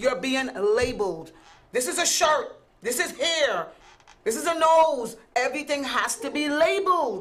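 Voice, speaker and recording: A woman speaks at a fairly slow pace with a high pitch and very wide pitch swings. Noticeable background noise and audible room echo surround her voice. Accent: American. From US Virgin Islands. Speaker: talk show co-host. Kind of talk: heated debate.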